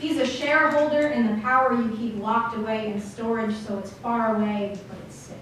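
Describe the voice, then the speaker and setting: Over noticeable background noise, a woman with a fairly high pitch talks at a moderate pace. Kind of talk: slam poetry performance.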